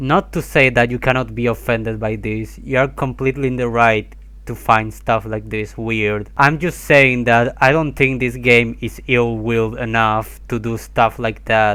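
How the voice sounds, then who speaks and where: In an Argentine accent, a man talks at a fairly slow pace with hardly any pauses. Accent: Argentinian. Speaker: video essayist. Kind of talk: commentary video voiceover. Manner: casual.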